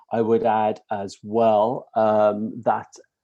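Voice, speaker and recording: A man's dark, mellow tone at a medium pitch. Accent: British. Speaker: course leader. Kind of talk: webinar presentation. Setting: live webinar and stream. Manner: hesitant, many fillers.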